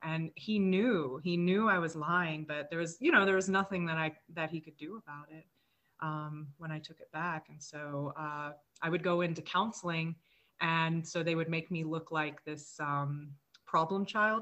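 An unremarkable speaking voice from a woman with an American accent, fairly low in pitch, at a moderate pace with fairly even intonation. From US South, Mississippi. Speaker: guest sharing life story. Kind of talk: personal testimony interview.

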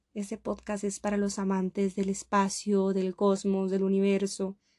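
A woman's medium-pitched voice at a fairly slow pace, with a dry, close sound and no echo. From Costa Rica. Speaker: podcast host. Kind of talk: motivational monologue.

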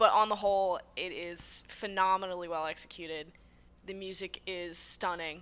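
At a moderate pace, an unremarkable speaking voice carries the words. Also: woman. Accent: American. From Massachusetts, US. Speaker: guest and site writer. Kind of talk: casual interview chat.

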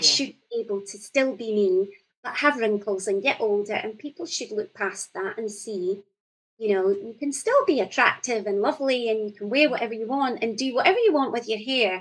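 A woman with a Scottish accent talks at a fairly quick pace, her fairly high pitch rising and falling in an ordinary way. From Scotland, central region. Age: 40s. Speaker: poet. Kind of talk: casual chat.

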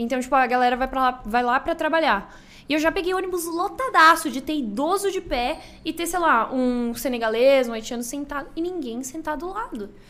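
High-pitched and bright with a sharp tone, a woman's voice rises and falls in lively intonation. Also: moderate pace. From Brazil, interior of Rio Grande do Sul. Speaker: streamer. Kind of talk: casual chat.

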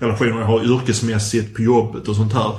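In a flat monotone with some breathiness, a man speaks at medium pitch amid audible room echo. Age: 40s. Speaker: podcast host. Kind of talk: casual chat.

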